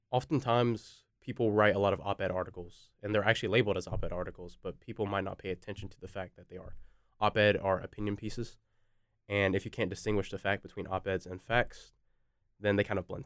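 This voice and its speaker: A man with a fairly low pitch speaks very fast, with fairly even intonation and big swings in loudness. The recording is very clean, with a silent background. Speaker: university student. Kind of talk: casual discussion.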